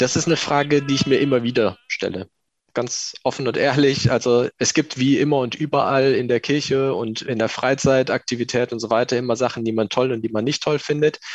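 A man speaks with an unremarkable speaking voice at medium pitch. His pace is fairly quick and his intonation fairly even. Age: 20s. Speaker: civil servant, lay community member. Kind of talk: interview testimony.

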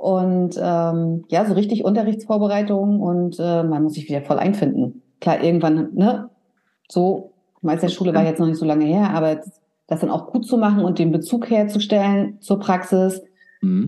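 A woman's medium-pitched voice, with ordinary pitch variation, moves at a moderate speed. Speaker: hairdresser and salon owner. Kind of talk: casual interview. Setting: video call from her salon. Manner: calm.

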